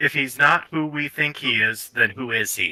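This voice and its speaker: At a moderate pace, a man does a put-on character voice with a fairly high pitch. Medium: actual play.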